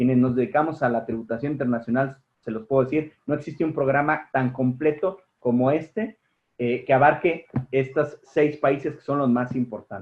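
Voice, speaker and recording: It's an unremarkable speaking voice. The pace is moderate, with ordinary pitch variation. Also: man, fairly high pitch for a man. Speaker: tax law professor. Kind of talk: webinar panel remarks.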